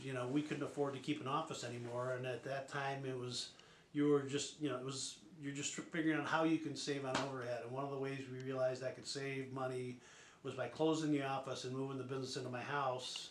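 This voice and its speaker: A man at a medium pitch and a very fast pace, monotone and flat, with noticeable background noise and audible room echo. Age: 60s. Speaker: newspaper publisher. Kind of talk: documentary interview. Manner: halting, many fillers.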